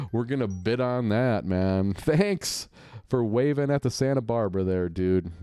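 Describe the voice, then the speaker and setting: Dark, mellow tone at a fairly slow pace over a quiet background. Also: man. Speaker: podcast host doing play-by-play commentary. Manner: playful, teasing, wisecracking.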